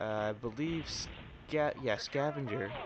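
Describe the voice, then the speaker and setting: There is noticeable background noise. Over it, a man speaks at a medium pitch with ordinary pitch variation. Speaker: gaming commentator. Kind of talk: gameplay commentary. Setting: home recording late at night. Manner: quiet, restrained so as not to wake others.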